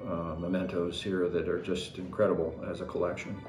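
The clip has audible room echo and faint music in the background. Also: man. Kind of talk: interview answer. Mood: calm, reflective, proud. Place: home room.

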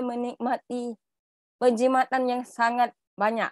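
In a quiet background with a dry sound and no echo, a woman with high pitch talks at a fairly slow pace. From Tawau, Sabah; Sabah. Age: young. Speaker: direct-selling agency manager; guest. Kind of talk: presentation. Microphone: earbuds.

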